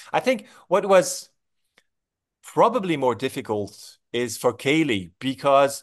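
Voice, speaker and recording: A man with vocal fry and very wide pitch swings at a moderate pace against a quiet background. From France. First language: French. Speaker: film director. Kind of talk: interview.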